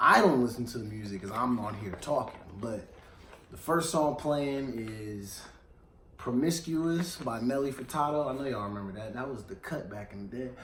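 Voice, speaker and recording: A man speaks at a moderate pace and a medium pitch, with ordinary pitch variation and big swings in loudness, over noticeable background noise and audible room echo. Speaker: radio show host. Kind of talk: casual chat. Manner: animated.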